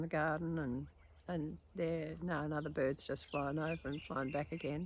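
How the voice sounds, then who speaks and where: A woman with a very deep, low pitch and an Australian accent, at a moderate pace with fairly even intonation. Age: 80s+. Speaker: poet and video blogger. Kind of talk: casual monologue. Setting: outdoors in garden. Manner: halting, with hesitations.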